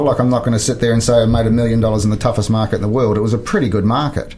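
Amid noticeable background noise and audible room echo, a man with a New Zealand accent speaks very fast at a medium pitch. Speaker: business coach and former real estate CEO. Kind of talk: interview.

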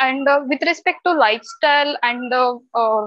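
A woman at a high pitch with ordinary pitch variation, a dry sound with no echo, and a quiet background. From India. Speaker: job seeker. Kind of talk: casual Q&A. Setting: video call. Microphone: video call.

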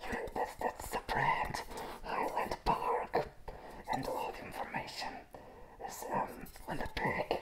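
Over loud background noise, a man talks very slowly. He is soft-spoken. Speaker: product reviewer. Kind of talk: casual review chat. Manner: soft ASMR voice through clown mask.

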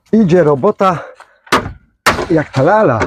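Over loud background noise, a man with a fairly high pitch talks at a very slow pace with lively intonation, the sound dry with no echo. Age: old. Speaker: vlogger and gardener; rabbit keeper. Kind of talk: casual vlog monologue; storytelling. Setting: outdoors in a garden. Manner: casual, chatty. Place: garden.

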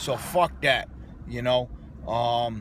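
A man is speaking, with light background noise. The sound is dry, with no echo. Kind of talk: casual vlog chat. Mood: excited, a bit annoyed. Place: car. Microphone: phone near.

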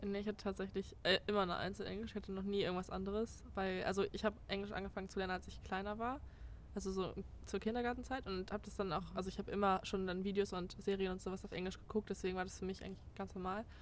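A woman at a very fast pace with monotone, flat intonation and vocal fry, dry with no echo over light background noise. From Germany. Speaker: former exchange student. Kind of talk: casual chat. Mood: relaxed, chatty. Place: garden.

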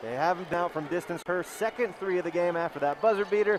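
A man speaks in a high pitch with ordinary pitch variation. Noticeable background noise is present. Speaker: sports commentator. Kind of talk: live commentary.

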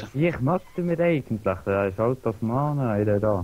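A man with a Swiss German accent, a dark, mellow tone, lively intonation, and a fairly slow pace. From Switzerland. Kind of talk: casual let's play gaming talk.

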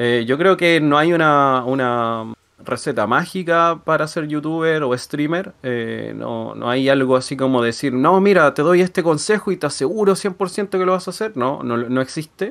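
Fairly slow speech with ordinary pitch variation over a quiet background. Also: man, fairly high pitch for a man. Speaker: streamer, youtuber. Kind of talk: interview. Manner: halting. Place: home room. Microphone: studio mic.

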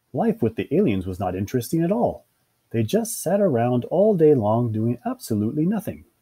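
A quiet background behind an unforced reading voice.

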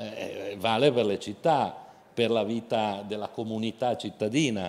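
A man's voice at medium pitch and a very slow pace. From Genoa, Liguria; Liguria. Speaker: company chairman; guest. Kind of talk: panel discussion. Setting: outdoor festival stage with audience. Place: stage. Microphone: handheld.

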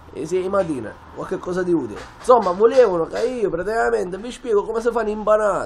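With music in the background, a man at a high pitch speaks at a fairly quick pace with ordinary pitch variation. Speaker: vlogger explaining a recipe. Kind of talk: casual vlog chat. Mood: jokey, ironic, lively. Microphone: phone near.

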